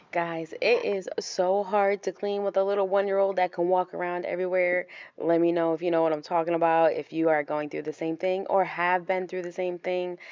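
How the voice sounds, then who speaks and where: A woman with an American accent talks at a fairly quick pace with hardly any pauses. Her medium-pitched voice stays monotone and flat. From US Northeast, Rhode Island. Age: 20s. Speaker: stay-at-home mom vlogger. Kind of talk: casual vlog chat. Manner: casual, chatty.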